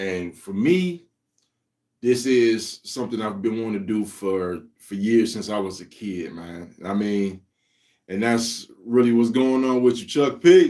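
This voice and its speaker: A man with a medium pitch talks at a very slow pace, his intonation lively. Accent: American. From US Midwest, Cleveland, Ohio. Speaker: comic creator, livestream host. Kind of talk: casual livestream chat. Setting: live stream. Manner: laid-back.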